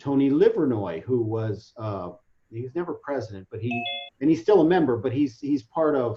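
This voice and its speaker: Speaking at a fairly quick pace, a man sounds somewhat breathy. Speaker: webinar presenter. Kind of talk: online training presentation. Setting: video call.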